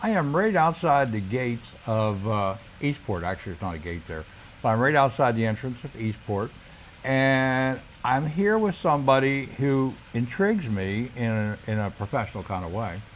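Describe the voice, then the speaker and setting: A plain, everyday voice from a man, medium in pitch, with lively intonation at a moderate pace. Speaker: realtor. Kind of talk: interview questions, casual host talk.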